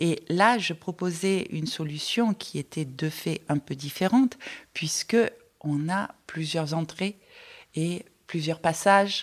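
At a very slow pace, a woman speaks in a fairly low pitch with ordinary pitch variation. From Marseille, southern France. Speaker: exhibition designer. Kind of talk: interview, guided tour.

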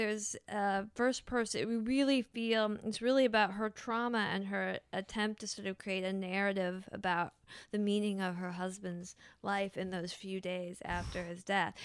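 A woman speaks in a plain, everyday voice at medium pitch and a moderate pace, with ordinary pitch variation. Her loudness swings widely, and the recording is very clean with a silent background. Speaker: novelist. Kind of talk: casual chat. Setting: studio.

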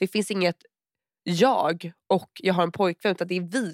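Speaking at a moderate pace, a woman has an unremarkable speaking voice of medium pitch, recorded with a dry, close sound and no echo. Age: 20s. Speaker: podcast co-host. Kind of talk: casual chat.

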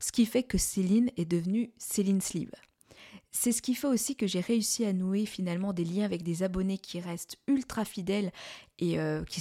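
With a dry, close sound, no echo and a silent background in a very clean recording, a woman speaks at a moderate pace in a medium-pitched, dark, mellow voice with ordinary pitch variation. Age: 40s. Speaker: podcast host, medical secretary. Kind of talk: casual monologue. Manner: conversational with hesitations.

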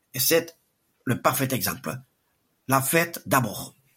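A man talks at a very slow pace. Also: long, frequent pauses. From French Basque Country. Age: 70s. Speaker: veteran race organizer. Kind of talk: interview conversation.

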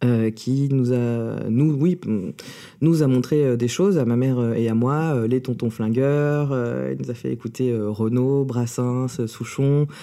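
Speaking at a very slow pace, a man keeps a medium pitch with fairly even intonation. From France, born in USSR. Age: 30s. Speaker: drag king and clown performer. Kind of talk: interview. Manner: halting.

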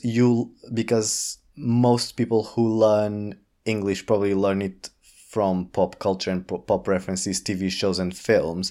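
A man with a Portuguese accent, medium pitch, ordinary pitch variation and a fairly slow pace, on a very clean recording with a silent background. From Portugal. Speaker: drag artist. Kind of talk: casual chat.

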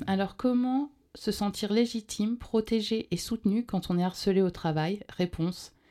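Very clean recording, silent background, with a woman's dark, mellow tone at medium pitch and a fairly slow pace. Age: 40s. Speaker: radio show co-host. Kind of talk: casual chat; reading aloud. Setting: studio.

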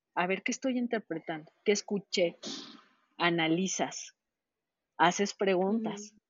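Delivery is fairly slow, with ordinary pitch variation and long, frequent pauses. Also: woman, medium pitch for a woman. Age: 40s. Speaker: customs trade consultant. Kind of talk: interview.

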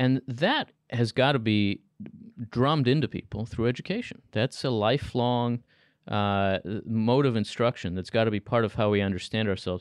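A man's normal speaking voice in an American accent, at a medium pitch and moderate pace with ordinary pitch variation, with a dry, close sound with no echo and a quiet background. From United States (New Jersey area). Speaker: think tank scholar. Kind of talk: interview.

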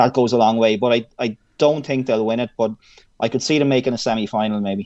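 This man has an Irish accent and a medium pitch, speaking at a very fast pace with fairly even intonation. The sound is dry and close, with no echo. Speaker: sports broadcaster. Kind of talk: radio interview.

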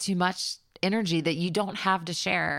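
A woman with an American accent speaks in a normal speaking voice at a moderate pace, her pitch fairly low and her intonation fairly even. The recording is very clean with a silent background. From US South. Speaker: songwriter. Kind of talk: casual chat. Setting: at home.

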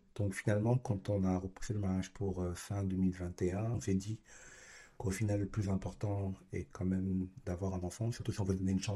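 In a very clean recording with a silent background, a man with a very deep, low pitch speaks at a moderate pace in a monotone, flat way, his tone dark, mellow and somewhat breathy. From Burkina Faso, partly raised in Japan. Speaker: father. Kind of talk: casual interview.

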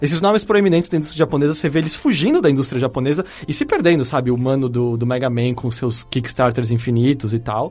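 At a very fast pace with hardly any pauses, a man speaks at a medium pitch with ordinary pitch variation. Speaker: podcast host. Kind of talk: casual chat.

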